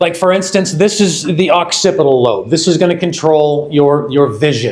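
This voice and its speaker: An American accent at a moderate pace. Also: man. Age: 50s. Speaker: company research executive. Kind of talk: product launch presentation.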